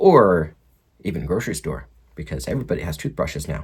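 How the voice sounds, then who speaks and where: The voice belongs to a man with an American accent. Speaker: RC hobby video host. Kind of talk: tutorial. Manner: fast; casual.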